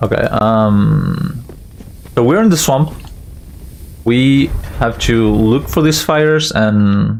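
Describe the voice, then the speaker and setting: Over noticeable background noise, a man with a non-native accent speaks at a very slow pace with long, frequent pauses. His medium pitch carries lively intonation at very even loudness. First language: not English. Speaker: speedrunner. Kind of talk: live gameplay commentary. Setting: live stream.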